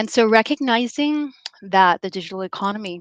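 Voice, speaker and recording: Against a quiet background, a woman with an American accent talks at a moderate pace, the sound dry and close with no echo. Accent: American-sounding accent, noted by herself. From US, of Belizean heritage. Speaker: development bank specialist. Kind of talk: conference talk. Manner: many filler words (um, uh).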